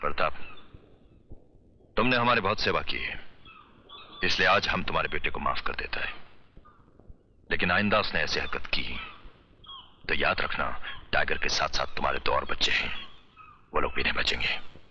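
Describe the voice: With a bright, sharp tone, a man uses a put-on character voice at an extremely low pitch, speaking at a moderate pace with lively intonation and long, frequent pauses.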